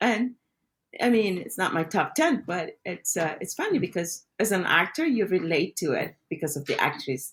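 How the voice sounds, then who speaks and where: Speaking with a Spanish accent at a moderate pace, a woman swings very widely in pitch, with vocal fry in her voice. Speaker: podcast co-host, actor. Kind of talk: casual chat.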